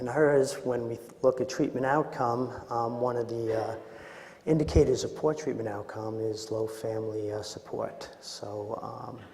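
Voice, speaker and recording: With a Queens accent, a man speaks at a fairly slow pace and medium pitch with fairly even intonation, amid audible room echo and noticeable background noise. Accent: Queens, New York. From Queens, New York City. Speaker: psychologist and presenter on addiction. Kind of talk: conference presentation. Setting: conference room with audience, remote mic. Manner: frequent filler words and hesitations.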